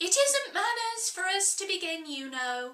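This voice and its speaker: Squeaky and extremely high-pitched, a woman speaks in a put-on character voice at a moderate pace. Her pitch makes very wide swings. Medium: read story. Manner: severe, condescending.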